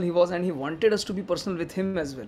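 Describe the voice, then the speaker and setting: In a strong Indian accent, a man speaks with fairly even intonation. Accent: thick Indian. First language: Hindi. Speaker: devotee speaker. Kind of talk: remembrance talk.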